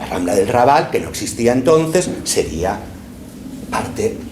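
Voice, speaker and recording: A man with a medium-pitched voice speaks at a moderate pace, his pitch swinging very widely. Noticeable background noise and audible room echo surround him. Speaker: professor. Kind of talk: lecture.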